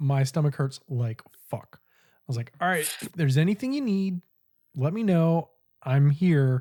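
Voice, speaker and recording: A man speaks slowly in a fairly high, somewhat breathy voice with a dark, mellow tone and lively intonation. His loudness swings widely, and the sound is dry and close with no echo. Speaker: podcast co-host. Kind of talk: casual chat. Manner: animated storytelling.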